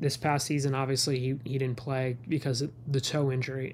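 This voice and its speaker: Delivery comes at a moderate pace and sounds somewhat breathy. The intonation is monotone and flat. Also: man. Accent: American. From New York City, the Bronx. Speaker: sports reporter. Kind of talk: casual interview.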